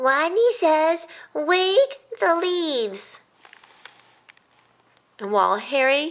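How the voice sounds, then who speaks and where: Putting on a squeaky character voice, a woman speaks extremely high and very slowly, with very wide pitch swings and long, frequent pauses. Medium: read story. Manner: says W for R.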